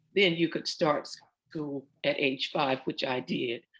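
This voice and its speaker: A woman with a Southern US accent, at a very slow pace. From US South, central Florida (Oviedo). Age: 70s. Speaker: interviewee, professional singer. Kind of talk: oral history interview. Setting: video call.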